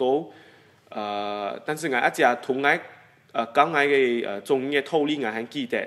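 A man at medium pitch with an eastern Guangdong accent, fairly slow pace and ordinary pitch variation. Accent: Dabu Hakka. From Singapore. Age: 20s. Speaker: interviewee. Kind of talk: personal reminiscence, interview answer. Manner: hesitant, many filler sounds. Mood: warm, nostalgic. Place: studio.

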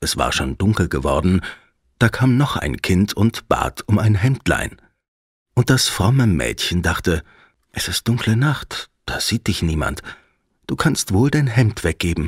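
A man with a gentle, soothing tone and vocal fry, fairly low pitch, very wide pitch swings, a very slow pace and long, frequent pauses, in a dry, close sound with no echo. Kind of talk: fairy tale audiobook narration. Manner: gentle, soothing, slow storyteller pacing.

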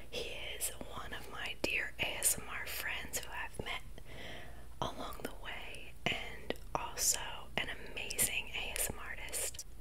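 Fairly slow speech over loud background noise. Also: woman. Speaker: ASMR mukbang creator. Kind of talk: ASMR talking video. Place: home room. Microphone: studio mic.

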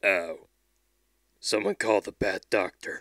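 A man with a fairly low pitch and a whiny tone speaks at a fairly slow pace in a very clean recording, dry and close with no echo and a silent background. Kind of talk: comic overacting. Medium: comedy sketch. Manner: gruff heroic bravado turning to whiny pleading.

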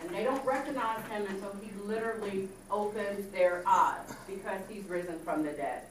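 With audible room echo and light background noise, a woman speaks at a moderate pace with ordinary pitch variation and hardly any pauses. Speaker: minister teaching Bible study. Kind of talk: Bible study teaching. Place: classroom.

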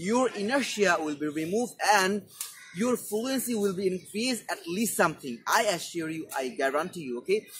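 There is light background noise. A man talks at a high pitch with lively intonation. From Bangladesh. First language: Bengali. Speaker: English teacher YouTuber. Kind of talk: tutorial. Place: garden. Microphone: lapel.

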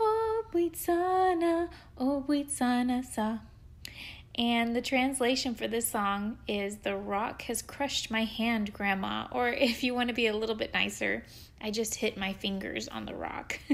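A woman's unremarkable speaking voice, fairly high in pitch, with lively intonation at a fairly slow pace. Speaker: music educator. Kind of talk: casual podcast chat.

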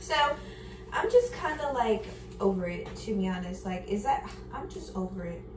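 A woman speaks in a room with audible echo. Light background noise sits underneath. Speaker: lifestyle vlogger. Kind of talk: casual vlog chat. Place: kitchen. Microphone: camera far.

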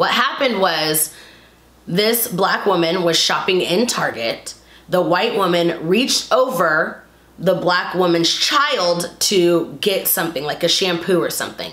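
A fairly low-pitched woman's voice at a fairly slow pace, with audible room echo. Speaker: vlogger. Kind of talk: casual vlog commentary. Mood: opinionated, a bit indignant. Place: home room. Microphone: camera far.

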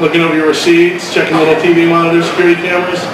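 A man talks at a very fast pace in a high pitch. Noticeable background noise and audible room echo surround him. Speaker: stand-up comedian. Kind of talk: nervous early open-mic stand-up set, observational Walmart jokes. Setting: stage with audience in a comedy club. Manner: hesitant, stumbling over words and restarting lines; self-deprecating, playing characters with quick voiced asides. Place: stage.

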